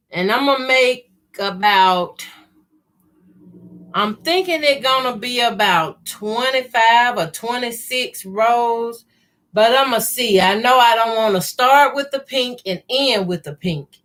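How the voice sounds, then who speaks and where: At a fairly slow pace, a woman with a slight Southern US accent speaks at a fairly high pitch with ordinary pitch variation. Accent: slight southern country. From US South, Mississippi. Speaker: quilting youtuber. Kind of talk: live sewing tutorial chat. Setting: livestream. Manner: casual, conversational.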